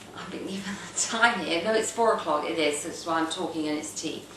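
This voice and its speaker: With lively intonation, a woman speaks in a London accent amid noticeable background noise and audible room echo. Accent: northwest London English. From England, northwest London. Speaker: video blogger. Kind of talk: casual monologue. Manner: halting, many fillers.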